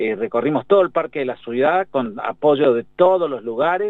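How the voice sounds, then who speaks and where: An ordinary speaking voice, with lively intonation, moves at a moderate pace. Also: man. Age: 60s. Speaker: pediatrician and infectious disease doctor. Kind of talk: radio interview.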